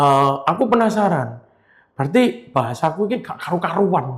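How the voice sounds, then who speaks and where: This man has a Surabaya accent and a fairly high pitch. His intonation is lively and his pace moderate. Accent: Javanese Surabaya accent (medok). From Indonesia, Surabaya (East Java). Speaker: marble businessman. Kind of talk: casual chat.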